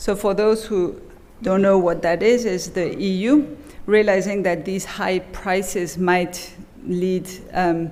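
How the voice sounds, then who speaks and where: Delivered at a very slow pace with fairly even intonation, the speech carries audible room echo and noticeable background noise. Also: woman, medium pitch for a woman. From Belgium. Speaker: economics professor. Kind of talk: keynote lecture. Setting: conference stage with audience.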